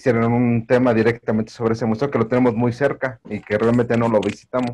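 A man speaks at a fairly quick pace in a Mexico City accent. His intonation is monotone and flat. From Mexico City, Iztapalapa. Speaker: audience member. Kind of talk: Q&A comment. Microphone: video call.

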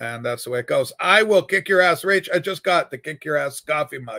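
Against a quiet background, a man speaks in a bright, sharp tone with ordinary pitch variation. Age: 60s. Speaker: livestream host and record collector. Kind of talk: casual livestream chat. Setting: home studio livestream with webcam and USB microphone. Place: home room. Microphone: webcam.

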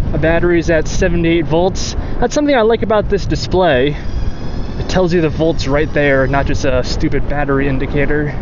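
The speech moves at a moderate pace with hardly any pauses, the sound is dry with no echo, and noticeable background noise runs underneath. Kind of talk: casual vlog commentary. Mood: curious, mildly excited. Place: bicycle. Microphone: phone near.

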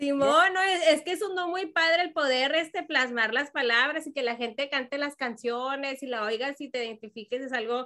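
A woman speaks in a high pitch with lively intonation and a bright, sharp tone. Her voice is raised, projected and animated, with hardly any pauses. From Mexico, Jalisco. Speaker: radio host. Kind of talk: casual chat.

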